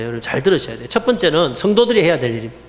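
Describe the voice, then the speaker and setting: Amid noticeable background noise and audible room echo, a man with a fairly high pitch speaks at a very fast pace. His pitch swings very widely. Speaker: pastor. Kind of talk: sermon. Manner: animated.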